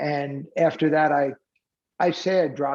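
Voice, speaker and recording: A man talks with a fairly high pitch. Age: 70s. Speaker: charity co-founder, former psychology professor and business executive. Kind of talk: podcast interview. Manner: conversational, with frequent fillers.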